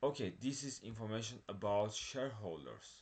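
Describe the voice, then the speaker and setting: A man speaks at a fairly slow pace in an ordinary speaking voice. His pitch is fairly low, with ordinary variation. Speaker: stock market video creator. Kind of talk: screen-share stock analysis tutorial.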